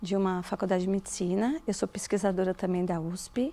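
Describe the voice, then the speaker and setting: At a moderate pace, a woman speaks with a medium pitch and a dark, mellow tone. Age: 50s. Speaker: biologist and university lecturer. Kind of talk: documentary interview.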